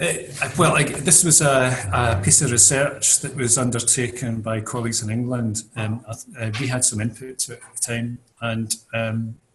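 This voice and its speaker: In a Scottish accent, a man speaks at a medium pitch with fairly even intonation. His loudness swings widely. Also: moderate pace. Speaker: mental health recovery expert. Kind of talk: interview.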